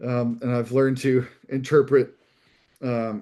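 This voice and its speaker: A man with a Midwestern American accent speaks in a dark, mellow tone. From US Midwest. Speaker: pastor. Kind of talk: talk on ministry. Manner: halting, many fillers.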